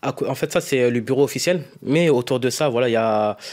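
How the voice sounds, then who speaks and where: Fairly quick delivery with ordinary pitch variation on a very clean recording with a silent background. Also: man. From France, Paris suburbs (Essonne). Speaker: youth association president. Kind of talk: interview. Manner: hesitant, many fillers.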